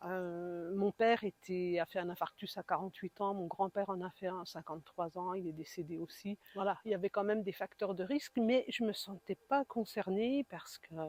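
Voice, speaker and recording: Hardly any pauses break this woman's an ordinary speaking voice, medium in pitch with ordinary pitch variation. The sound is dry and close with no echo. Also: moderate pace. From eastern France, Besançon. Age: 60s. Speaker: heart attack patient, support group founder. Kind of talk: interview testimony. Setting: podcast interview.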